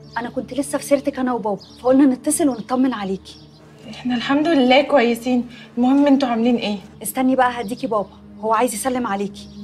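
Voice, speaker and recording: A woman at a fairly quick pace and high pitch, with faint music in the background. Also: fairly even intonation. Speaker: actress playing a caller. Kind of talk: scripted drama dialogue, phone call. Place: home room.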